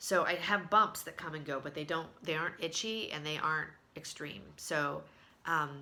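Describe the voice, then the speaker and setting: At a moderate pace, a woman speaks with a very deep, low pitch, ordinary pitch variation and a bright, sharp tone. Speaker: video blogger. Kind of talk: casual vlog update. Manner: hesitant, many fillers.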